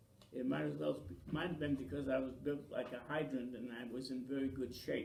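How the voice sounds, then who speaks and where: Fairly high male voice at a moderate pace with ordinary pitch variation, audible room echo and noticeable background noise. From Maine, US (Franco-American). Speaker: local elder interviewee. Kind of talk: oral history interview.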